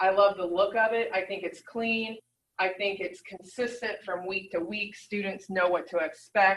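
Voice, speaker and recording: Here is a woman with a normal speaking voice at a medium pitch. She talks at a moderate pace. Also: fairly even intonation. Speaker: nursing professor. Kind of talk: presentation.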